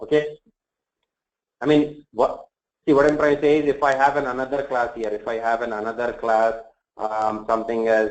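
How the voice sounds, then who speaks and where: A man's voice sits at a medium pitch with fairly even intonation. He leaves long, frequent pauses. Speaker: programming instructor. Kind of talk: lecture. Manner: fast.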